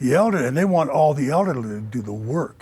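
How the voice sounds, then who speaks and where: Somewhat breathy, a man speaks at a moderate pace with a medium pitch. His pitch swings very widely. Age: 60s. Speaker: city council candidate. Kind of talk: political debate. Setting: studio.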